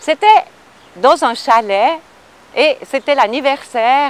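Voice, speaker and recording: Delivered at a very slow pace, the speech has lively intonation. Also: woman, dry, close sound with no echo. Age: 60s. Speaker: film extra. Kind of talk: casual anecdote telling.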